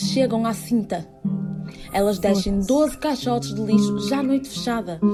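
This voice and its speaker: A woman speaks at a moderate pace and a medium pitch, with lively intonation. Music plays in the background. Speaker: theatre performer reading a literary text. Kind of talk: literary text reading, whispered theatre piece. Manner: whispered, intimate.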